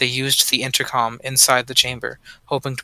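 Fairly quick and medium-pitched, this man's voice has a bright, sharp tone and a dry, close sound with no echo. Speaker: podcast host. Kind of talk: ghost story telling, reading creepy accounts aloud. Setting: call.

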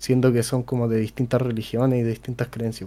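A man with a Chilean accent speaks at a fairly quick pace in a medium pitch, his dark, mellow tone flat and monotone, on a very clean recording with a silent background. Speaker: podcast host. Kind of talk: casual chat.

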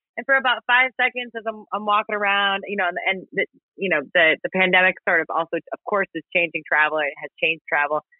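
A woman talks at a very fast pace with hardly any pauses. Her pitch is medium and her intonation is lively. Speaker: podcaster. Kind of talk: casual chat. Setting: live online audio room. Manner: chatty.

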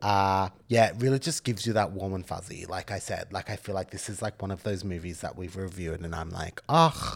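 On a very clean recording with a silent background, a man speaks with an Australian accent at a fairly quick pace. His pitch is fairly low with ordinary variation, and there are hardly any pauses. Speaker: podcast co-host. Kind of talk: casual chat.

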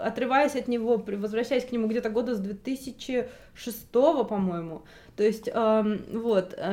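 At a very slow pace, a woman speaks in a fairly high pitch with a dark, mellow tone and fairly even intonation. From Russia. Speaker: translator and journalist. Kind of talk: interview. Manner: hesitant, many fillers.

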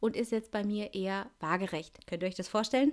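A woman's fairly high, normal speaking voice with ordinary pitch variation. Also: very clean recording, silent background. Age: 30s. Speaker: podcast host. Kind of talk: solo monologue podcast. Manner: casual, chatty.

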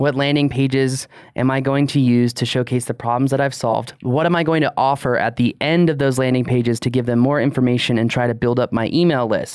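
In a plain, everyday voice, a man talks at medium pitch and a fairly quick pace with fairly even intonation, very even loudness and hardly any pauses. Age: 30s. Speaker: drone podcast co-host. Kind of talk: casual chat.

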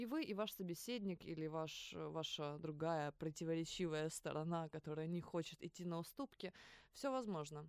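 Here a woman is speaking. She keeps a moderate pace with ordinary pitch variation. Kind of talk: casual chat. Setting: studio. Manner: animated.

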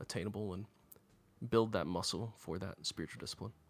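A man with a normal speaking voice talks at a fairly low pitch and a fairly quick pace, with ordinary pitch variation. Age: 30s. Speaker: pastor. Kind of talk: podcast discussion on fasting.

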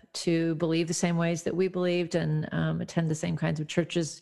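Fairly quick speech with an American accent and fairly even intonation, on a very clean recording with a silent background. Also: woman. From US Midwest. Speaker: songwriter and author. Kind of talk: interview. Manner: hesitant, many fillers.

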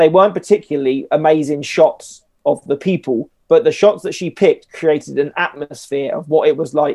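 Recorded dry and close with no echo, a man talks at a moderate pace. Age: 30s. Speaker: wedding and music photographer. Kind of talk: casual chat.

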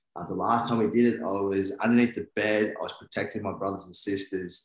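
A man talks in a room with audible echo, his intonation fairly even. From New Zealand. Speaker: men's work coach. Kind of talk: casual interview.

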